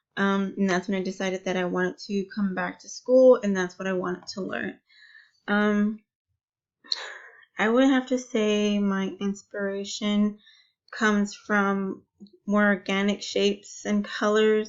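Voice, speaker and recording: With long, frequent pauses, a woman talks at a fairly slow pace in a medium pitch and fairly even intonation. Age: 30s. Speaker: student. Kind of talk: personal introduction monologue. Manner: hesitant, many fillers.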